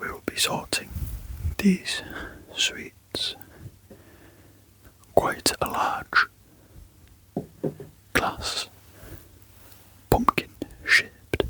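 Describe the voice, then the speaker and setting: Someone whispers in a calm tone at a very slow pace, with long, frequent pauses. Noticeable background noise runs underneath. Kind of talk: ASMR whispered sorting narration. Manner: soft-spoken, whispering, calm.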